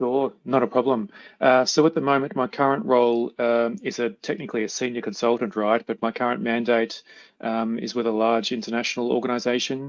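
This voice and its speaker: Someone with an Australian accent speaks at a fairly quick pace with ordinary pitch variation against a quiet background. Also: man, medium pitch for a man. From Melbourne, Australia. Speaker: project management consultant. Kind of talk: interview. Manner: halting, many fillers.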